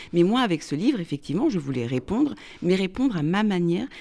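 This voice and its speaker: Delivered at a very fast pace, the speech has a dark, mellow tone and very wide pitch swings. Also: woman. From France. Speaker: author. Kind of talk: radio interview. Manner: halting.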